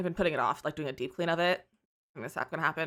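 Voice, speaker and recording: A woman's fairly low voice, bright and sharp in tone, at a very fast pace with ordinary pitch variation. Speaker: game streamer. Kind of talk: casual live stream chat.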